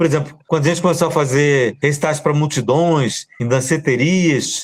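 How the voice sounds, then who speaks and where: A man talks with ordinary pitch variation. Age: 60s. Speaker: poet. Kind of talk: casual chat.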